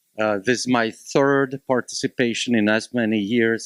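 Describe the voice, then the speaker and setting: In a Slovak accent, a man speaks at a moderate pace with a fairly low pitch and fairly even intonation. The recording is very clean and dry, close with no echo, over a silent background. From Slovakia (Bratislava). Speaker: college instructor, panelist. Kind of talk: panel discussion.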